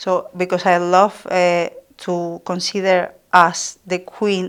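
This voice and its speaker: In a very clean recording with a silent background, someone with a Spanish accent speaks at a very slow pace in a monotone, flat way. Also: woman, medium pitch for a woman. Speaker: midwife and author. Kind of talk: podcast interview.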